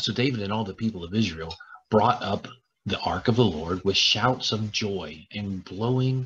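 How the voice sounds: Ordinary pitch movement in a natural reading voice, with a quiet backdrop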